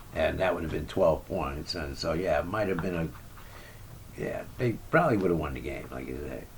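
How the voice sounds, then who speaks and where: A man with a very deep, low pitch and lively intonation talks at a moderate pace. Audible room echo surrounds his voice. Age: 60s. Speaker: basketball vlogger and amateur shooter. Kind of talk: casual monologue recap. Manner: rambling with frequent fillers and repetitions.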